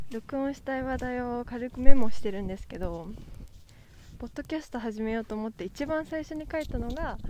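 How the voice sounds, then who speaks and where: A woman's high-pitched voice with a dark, mellow tone, fairly quick, with ordinary pitch variation and big swings in loudness. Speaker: podcaster. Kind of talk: casual solo monologue. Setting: outdoors on a walk.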